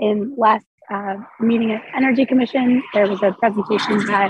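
A woman's voice is fairly high and somewhat breathy. Her intonation stays fairly even. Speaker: commission representative at public meeting. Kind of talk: meeting report.

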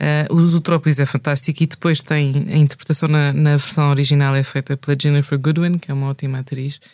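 Over a silent background in a very clean recording, a woman with a very deep, low pitch and a dark, mellow tone speaks at a fairly quick pace in a monotone, flat way. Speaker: podcast co-host. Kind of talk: casual chat.

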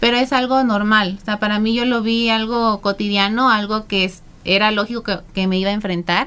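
A woman's bright, sharp voice, fairly high in pitch. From southern Veracruz, Mexico. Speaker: beauty pageant contestant and psychologist. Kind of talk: interview. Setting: radio studio.

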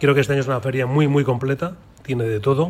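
In a plain, everyday voice, a man speaks at a medium pitch with fairly even intonation. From Colmenar Viejo, Madrid region. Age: 60s. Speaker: former handball player. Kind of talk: round-table radio talk.

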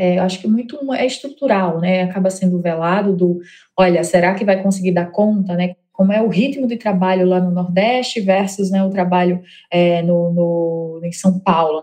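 The speaker has a northeastern Brazilian accent. The pace is moderate. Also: woman, medium pitch for a woman, fairly even intonation. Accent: northeastern Brazilian accent, noticeable. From Northeast Brazil, Mossoró (Rio Grande do Norte). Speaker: HR tech founder. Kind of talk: interview.

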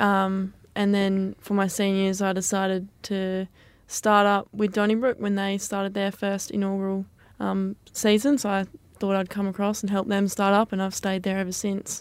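In an Australian accent, a woman speaks in a flat monotone on a very clean recording with a silent background. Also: medium pitch for a woman, moderate pace. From Western Australia, South West region. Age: 20s. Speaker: community football player. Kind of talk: radio interview.

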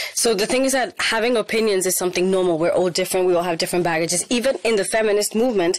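A woman at medium pitch, very fast, with ordinary pitch variation and noticeable background noise. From Spain. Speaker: rapper. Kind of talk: interview.

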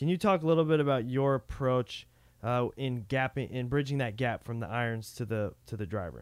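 A man with an unremarkable speaking voice talks at a fairly quick pace and a medium pitch, with ordinary pitch variation. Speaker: podcast co-host. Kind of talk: casual podcast chat.

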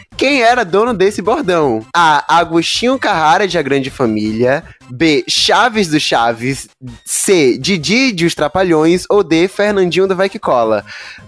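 A man speaks in a high, animated voice at a fairly slow pace. His pitch swings very widely, with music in the background. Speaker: podcast host. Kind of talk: casual chat.

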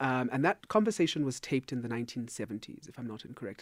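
Lively intonation marks this man's very fast delivery at a medium pitch. The recording is very clean and dry, close with no echo and a silent background. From South Africa. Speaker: philosophy lecturer. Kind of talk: radio interview. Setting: studio. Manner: formal.

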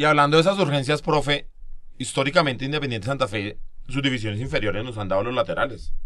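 Very fast and bright, sharp in tone, a man with a Bogotá accent speaks at a medium pitch with ordinary pitch variation. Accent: Bogotano Colombian Spanish. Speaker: podcast host.

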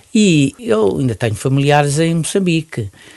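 A man's dark, mellow, somewhat breathy voice with lively intonation, at a fairly slow pace against a quiet background. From Mozambique. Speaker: retired pediatrician and neonatologist. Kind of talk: interview.

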